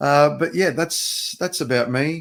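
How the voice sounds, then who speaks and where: With an Australian accent, a man speaks at a moderate pace and with ordinary pitch variation. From Australia, Sydney. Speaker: podcast producer and pro wrestler. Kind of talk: casual chat.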